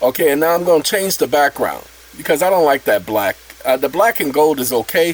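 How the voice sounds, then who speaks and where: A man talks fairly quickly in a fairly high voice against noticeable background noise. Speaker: channel host explaining a self-made app. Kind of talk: casual tutorial.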